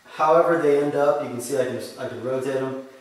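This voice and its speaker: A man speaks at a moderate pace with fairly even intonation. Strong echo fills the room. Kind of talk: tutorial. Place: workshop. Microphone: camera far.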